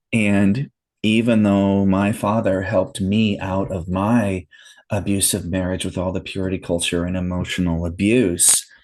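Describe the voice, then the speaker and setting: Against a quiet background, a man with a normal speaking voice speaks at a moderate pace, fairly low in pitch and with fairly even intonation. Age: 50s. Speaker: podcast guest, listener sharing his story. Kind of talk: casual interview conversation.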